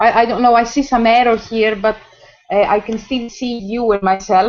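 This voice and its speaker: Someone with a Greek accent speaks at a moderate pace. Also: woman, fairly high pitch for a woman, fairly even intonation. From Greece. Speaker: choreographer and academic. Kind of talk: casual video call chat. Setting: video call. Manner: halting.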